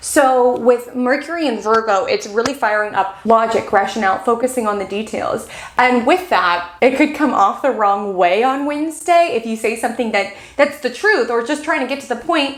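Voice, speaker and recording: Over noticeable background noise, a woman talks in a high voice with hardly any pauses. Her tone is animated and her intonation lively. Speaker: astrologer. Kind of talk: weekly astrology forecast. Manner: fast.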